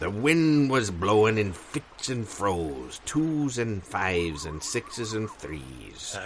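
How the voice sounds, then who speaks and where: In a put-on character voice, a man speaks very slowly at a fairly low pitch over clear background noise. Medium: audio drama. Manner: salty pirate slang.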